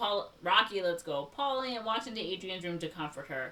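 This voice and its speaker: Her pitch rises and falls dramatically. The woman speaks rather quickly. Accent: Chicago. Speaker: podcast host. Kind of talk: reading plot summary in casual podcast; casual chat.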